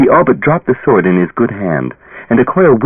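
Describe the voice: The text is given plain reading aloud. No flourishes are added along the way.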